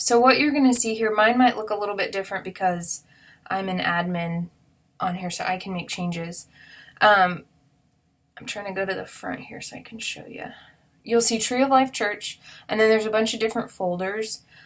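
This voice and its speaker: Speaking at a fairly quick pace, a woman has a fairly high pitch and ordinary pitch variation. Her loudness swings widely, and she takes long, frequent pauses. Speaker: children's ministry coordinator. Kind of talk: tutorial. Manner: fast; casual, filler-heavy.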